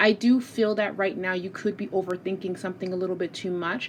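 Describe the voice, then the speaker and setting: With noticeable background noise behind her, a woman speaks at a moderate pace and a medium pitch with ordinary pitch variation. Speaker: tarot reader. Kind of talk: tarot reading monologue. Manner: casual, conversational.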